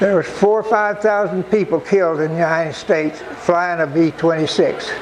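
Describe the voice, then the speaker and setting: A man with a high voice speaks in a fairly even tone over noticeable background noise. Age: 90s. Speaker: war veteran. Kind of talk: talk to an audience. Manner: halting.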